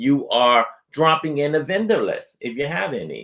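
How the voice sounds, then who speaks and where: Against a quiet background, a man talks with lively intonation. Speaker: software company presenter. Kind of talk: webinar product demo. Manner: fast.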